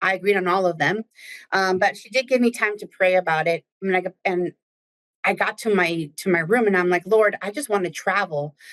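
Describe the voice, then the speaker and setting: A woman with a Spanish accent speaks quickly at a medium pitch, with ordinary pitch variation and big swings in loudness, in a dry, close recording with no echo. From New Jersey, Spanish-speaking Dominican family. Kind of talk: casual interview chat.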